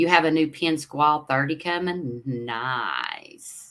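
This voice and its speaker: In an East Tennessee accent, a woman speaks with a very deep, low pitch, a bright, sharp tone, and ordinary pitch variation. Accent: Southern US (East Tennessee). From US South, Knoxville, Tennessee. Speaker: fishing livestream host. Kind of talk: casual livestream chat reading viewer comments. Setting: live stream. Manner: rambling, hesitant with fillers.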